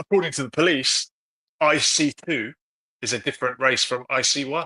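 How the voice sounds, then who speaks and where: A man with a fairly high pitch speaks at a moderate pace in a bright, sharp tone with ordinary pitch variation. The sound is dry and close, with no echo. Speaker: live stream host. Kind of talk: live discussion reading comments.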